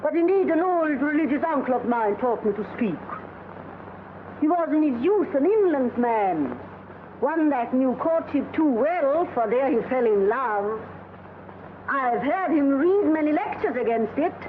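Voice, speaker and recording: A woman doing a shrill, high-pitched put-on character voice speaks at a moderate pace with long, frequent pauses and very even loudness. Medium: short film. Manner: excitable.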